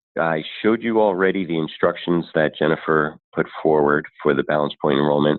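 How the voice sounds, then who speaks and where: A man speaks with a very deep, low pitch and ordinary pitch variation. His loudness stays very even throughout. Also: fairly quick pace. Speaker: benefits consultant. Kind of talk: webinar presentation. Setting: online webinar. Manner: fast.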